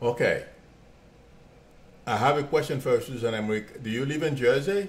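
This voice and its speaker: A man with a fairly high pitch talks at a moderate pace, his voice somewhat breathy and his pitch variation ordinary. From Haiti. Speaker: psychic medium and real estate agent. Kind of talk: live stream psychic reading, answering viewer questions. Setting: live video stream. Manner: hesitant, repeats words.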